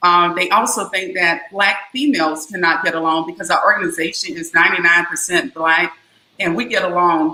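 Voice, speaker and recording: A Southern US accent at a moderate pace, with ordinary pitch variation. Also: woman. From US South, South Carolina. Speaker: business organization founder. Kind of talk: interview.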